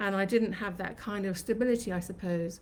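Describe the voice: A woman's medium-pitched, slightly mellow voice at a fairly quick pace, fairly even in intonation, with audible room echo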